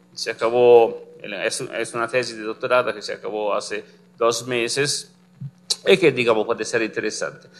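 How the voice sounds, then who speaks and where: With an Italian accent, the speaker goes at a moderate pace with ordinary pitch variation. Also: man. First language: Italian (speaking Spanish). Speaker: physicist, complex systems researcher; lecturer. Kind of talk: lecture. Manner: halting, many fillers. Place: classroom.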